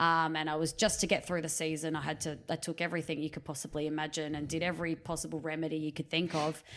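On a very clean recording with a silent background, a woman speaks very fast in an Australian accent. Her very deep, low voice stays flat and monotone. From Riverland, South Australia. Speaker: netball player and coach. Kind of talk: casual interview chat. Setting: recorded in her house.

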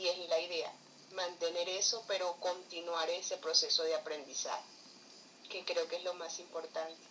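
A woman's fairly low voice at a moderate pace, flat and monotone, over noticeable background noise. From Colombia. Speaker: writer and cultural promoter. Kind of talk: interview conversation.

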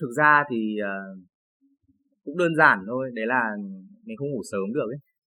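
The man's voice has a bright, sharp tone and big swings in loudness. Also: medium pitch for a man, ordinary pitch variation, moderate pace. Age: 20s. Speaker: marketer. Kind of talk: casual chat. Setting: cafe co-working space. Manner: hesitant, many fillers.

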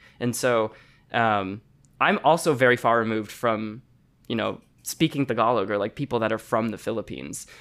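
A man's plain, everyday voice at a medium pitch and moderate pace, with ordinary pitch variation, in a very clean recording with a silent background. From Chicago, US. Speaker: singer and journalist. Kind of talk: casual interview chat. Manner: casual, filler-heavy.

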